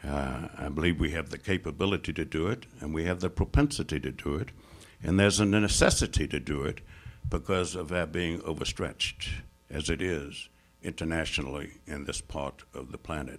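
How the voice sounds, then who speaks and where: A man with an American accent, very deep and low in pitch, at a moderate pace, with music in the background. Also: ordinary pitch variation. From United States. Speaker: Middle East scholar. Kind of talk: lecture. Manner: formal.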